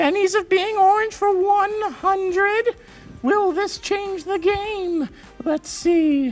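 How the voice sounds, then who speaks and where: Faint music plays behind a cartoonish character voice that is extremely high, upbeat and playful, and delivered at a very slow pace. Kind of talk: game show host. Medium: puppet. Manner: upbeat, playful.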